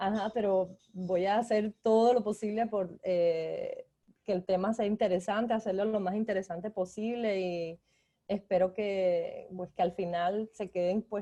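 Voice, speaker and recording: A woman with a Cuban accent speaks slowly-ish, at a fairly slow pace, in a dark, mellow tone at medium pitch with flat, monotone intonation. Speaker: graphic design lecturer. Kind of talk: guest lecture.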